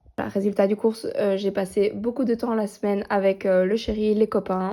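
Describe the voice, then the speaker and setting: The voice has a dark, mellow tone with monotone, flat intonation at a moderate pace. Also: woman. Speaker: coloring hobby vlogger. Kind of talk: casual vlog. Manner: hesitant, many fillers.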